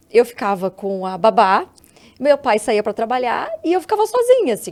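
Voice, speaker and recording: In a plain, everyday voice, a woman talks at a moderate pace with a fairly high pitch and lively intonation. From southern Brazil, Rio Grande do Sul (Santa Maria). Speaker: psychologist and actress. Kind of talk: podcast interview.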